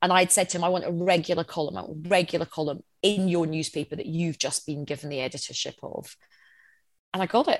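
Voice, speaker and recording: On a very clean recording with a silent background, a woman speaks in a fairly low pitch. Her delivery is very fast, with fairly even intonation. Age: 40s. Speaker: journalist, comedian and former political advisor. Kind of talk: casual chat.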